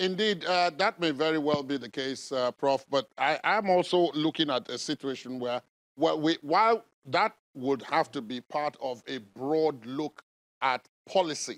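With a Nigerian accent, a man talks at a fairly high pitch and ordinary pitch variation, the sound dry and close with no echo, in a very clean recording over a silent background. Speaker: TV news host. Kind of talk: formal TV interview. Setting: studio.

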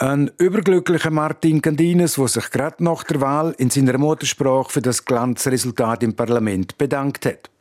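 With a Romansh Swiss accent, a man talks at a fairly high pitch with ordinary pitch variation, very even loudness and hardly any pauses, in a dry, close sound with no echo but noticeable background noise. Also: moderate pace. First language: Romansh (speaking German). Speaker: radio reporter. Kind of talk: news report.

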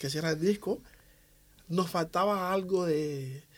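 This man speaks at a high pitch. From Cuba, Havana. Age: 40s. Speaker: percussionist and bandleader. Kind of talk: radio interview. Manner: halting.

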